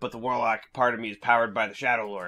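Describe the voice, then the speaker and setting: A raspy, put-on character voice from a man. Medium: actual play. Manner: rambling, hesitant.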